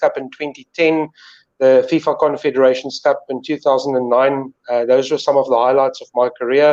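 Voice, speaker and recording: With a South African accent, a man speaks in a flat monotone at a fairly high pitch, the sound dry and close with no echo. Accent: Afrikaans South African English. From South Africa, northern KwaZulu-Natal. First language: Afrikaans. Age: 40s. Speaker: sports presenter. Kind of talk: casual interview.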